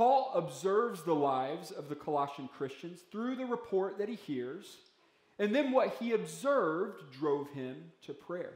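Very wide pitch swings from a man, with audible room echo. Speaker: pastor. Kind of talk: sermon. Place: church. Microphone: podium.

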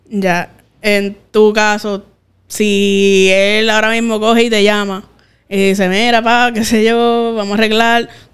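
A woman's fairly slow, monotone voice with flat intonation. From Puerto Rico. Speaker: podcast host. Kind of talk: casual interview. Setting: studio. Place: studio. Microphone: studio mic.

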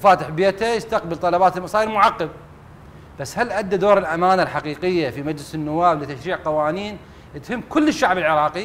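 A man with a high pitch and ordinary pitch variation keeps a moderate pace. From Iraq. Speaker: former member of parliament; TV guest, political commentator. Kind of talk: TV talk show discussion. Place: studio. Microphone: lapel.

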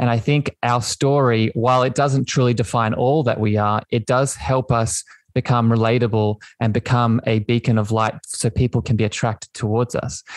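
With an Australian accent, a man talks at a moderate pace and medium pitch, his intonation fairly even, his loudness very even and his pauses few, in a dry, close sound with no echo against a quiet background. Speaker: podcast host. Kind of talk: casual interview chat. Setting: video call / online audio room.

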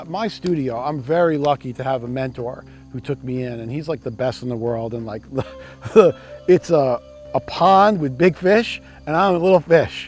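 A man with a New York accent speaks at a fairly high pitch, his loudness swinging widely. The sound is dry with no echo, and faint music plays in the background. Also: moderate pace. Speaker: surf photographer. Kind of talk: casual talk to camera. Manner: slight edge, attitude. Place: workshop.

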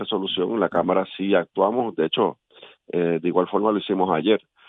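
Fairly low in pitch with fairly even intonation, a man speaks in an unremarkable speaking voice. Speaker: politician. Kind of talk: radio interview. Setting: phone call.

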